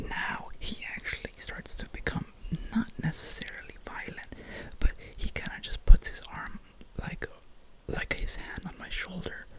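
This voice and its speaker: A man's whispering at a fairly slow pace, with noticeable background noise. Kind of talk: ASMR boyfriend roleplay, telling a personal story. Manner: sleepy, rambling, casual; intimate, soft.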